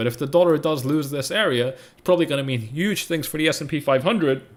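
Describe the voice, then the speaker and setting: A man with a British accent at a fairly quick pace, animated in tone and fairly high in pitch, against noticeable background noise. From UK. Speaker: crypto trading analyst streamer. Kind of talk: live stream market analysis. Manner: fast.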